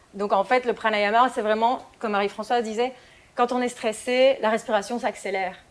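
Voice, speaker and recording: A woman speaks at a moderate pace in a fairly high voice. Her intonation stays flat and monotone. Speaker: yoga instructor. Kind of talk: talk.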